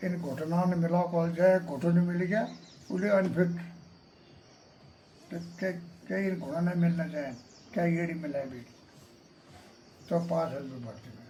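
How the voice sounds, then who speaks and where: Long, frequent pauses in a man's speech, high in pitch with ordinary pitch variation. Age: old. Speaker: army veteran. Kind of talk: interview answer.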